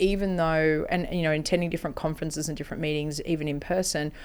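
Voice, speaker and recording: A woman speaks in a strong Australian accent. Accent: broad Australian. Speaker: health-tech company CEO. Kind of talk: interview.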